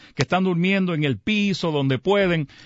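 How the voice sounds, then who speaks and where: A man with a Puerto Rican accent. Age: 60s. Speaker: mayor. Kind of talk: radio interview. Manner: halting.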